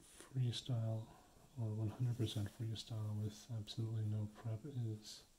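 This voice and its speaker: A soft-spoken man talks at a fairly slow pace in a monotone, flat intonation. His tone is dark, mellow and somewhat breathy, with light background noise. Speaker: beginner ASMR creator. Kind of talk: ASMR practice video talk to camera.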